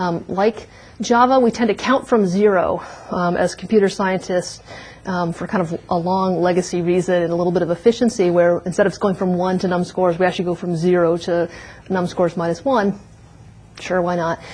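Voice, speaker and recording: Against noticeable background noise, a woman with a medium pitch speaks at a fairly quick pace with fairly even intonation. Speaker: university lecturer. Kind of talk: lecture. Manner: fast.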